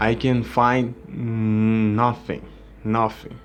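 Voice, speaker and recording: A man speaks in a monotone with flat intonation and a Portuguese accent. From Brazil. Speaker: gaming YouTuber; gamer reporting a problem. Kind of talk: tutorial. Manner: halting, with repeated words. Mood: frustrated complaint. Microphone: phone near.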